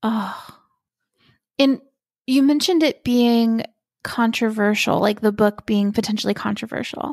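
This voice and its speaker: Her pitch is fairly high and varies in an ordinary way. The woman talks at a fairly slow pace with long, frequent pauses. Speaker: podcast host. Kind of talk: casual interview conversation. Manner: enthusiastic.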